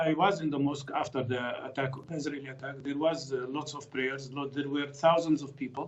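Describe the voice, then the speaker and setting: A man's fairly high-pitched, monotone voice at a fairly quick pace, hardly any pauses, over noticeable background noise. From Palestine, Jerusalem. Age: 60s. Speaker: physician and political commentator. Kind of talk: news interview.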